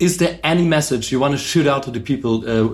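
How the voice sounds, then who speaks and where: A man with a German accent, somewhat breathy, fairly quick, his pitch swinging very widely. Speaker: podcast host. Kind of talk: casual interview. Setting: concert venue backstage.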